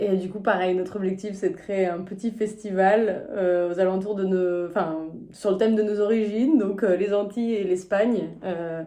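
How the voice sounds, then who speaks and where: Over audible room echo, a woman speaks at a fairly slow pace in a medium pitch. Her tone is dark and mellow, with fairly even intonation. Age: 20s. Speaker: physiotherapist, reality show applicant. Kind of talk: casual self-presentation video.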